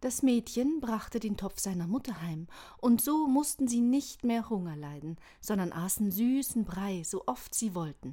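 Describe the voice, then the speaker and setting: Calm and gentle in tone yet dark and mellow, a woman speaks fairly slowly at a fairly high pitch, somewhat breathy, with very wide pitch swings. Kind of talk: bedtime story reading. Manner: calm, gentle storytelling pace; warm, inviting, expressive.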